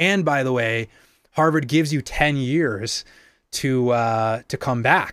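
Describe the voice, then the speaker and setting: Someone with an American accent talks at a very slow pace, using ordinary pitch variation. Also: man, medium pitch for a man. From Boston, Massachusetts. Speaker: musician and producer. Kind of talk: casual chat. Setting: video call.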